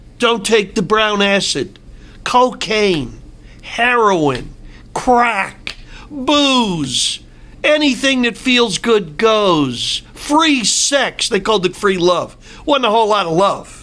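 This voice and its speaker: A man with a high pitch and a bright, sharp tone projects a raised voice very slowly, his intonation lively and his loudness very even. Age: 60s. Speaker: political commentator. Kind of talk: opinion monologue. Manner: animated.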